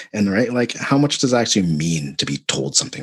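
With very wide pitch swings, vocal fry and a very deep, low pitch, a man talks at a fairly quick pace in a dry, close sound with no echo. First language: not English. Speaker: podcast co-host. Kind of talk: casual chat.

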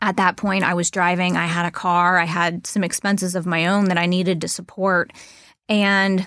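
A woman speaks at a medium pitch and a moderate pace. Her intonation is monotone and flat, in a very clean recording with a silent background. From Mid-Ohio Valley, Ohio/West Virginia border. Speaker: wealth advisor, podcast co-host. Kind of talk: casual conversational podcast.

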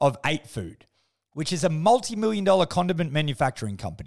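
On a very clean recording with a silent background, a man with a strong Australian accent speaks in an animated tone with very wide pitch swings. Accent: broad Australian. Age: 30s. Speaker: podcast host. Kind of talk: casual monologue.

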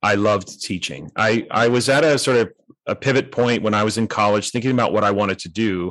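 A normal speaking voice from a man at medium pitch, fairly quick pace, against a quiet background. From Canada, North Vancouver. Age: 50s. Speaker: education author and speaker. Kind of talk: interview conversation.

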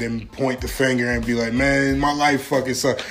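At a fairly quick pace, a man speaks in an animated tone over noticeable background noise. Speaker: podcast host. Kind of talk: casual chat.

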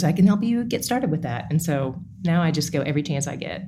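A woman speaks at a fairly quick pace with lively intonation and a somewhat breathy voice, and audible room echo surrounds her. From East Tennessee. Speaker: Bible teacher and podcast host. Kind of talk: interview conversation.

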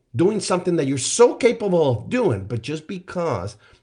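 The background is quiet. A man talks in a somewhat breathy voice. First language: not English. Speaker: life coach, podcast host. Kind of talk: solo motivational podcast monologue. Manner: conversational with frequent fillers.

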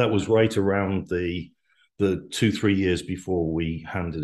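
With a quiet background, a man speaks at a moderate pace in a Welsh accent. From Wales. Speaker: business executive. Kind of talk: casual interview chat.

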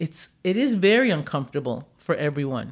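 On a very clean recording with a silent background, a woman with a normal speaking voice and fairly low pitch talks at a moderate pace. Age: 60s. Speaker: social work professor. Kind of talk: moderated interview discussion.

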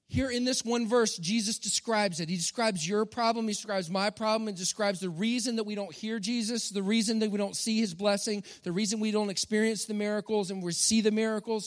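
Talking at a very fast pace with hardly any pauses, a man with a high voice and a Texan accent sounds animated. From Texas. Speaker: pastor. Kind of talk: sermon.

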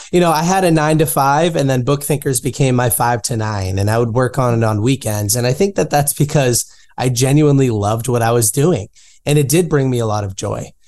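Against a quiet background, a man with an ordinary speaking voice talks at a fairly quick pace, with medium pitch and ordinary pitch variation. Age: 20s. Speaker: entrepreneur and author. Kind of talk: interview.

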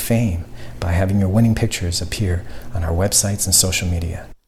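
The speaker goes at a fairly quick pace against noticeable background noise. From Canada. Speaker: author. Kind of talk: scripted announcement.

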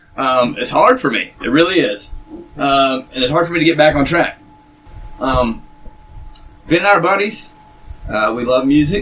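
A man speaks at a moderate pace with a fairly high pitch and lively intonation, leaving long, frequent pauses over noticeable background noise. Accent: American. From North Carolina, Gaston County. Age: 40s. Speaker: musician. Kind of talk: casual chat.

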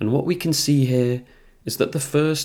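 With a British accent and ordinary pitch variation, a man speaks on a very clean recording with a silent background. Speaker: podcast host. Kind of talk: poetry reading, then spoken analysis. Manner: casual, chatty.

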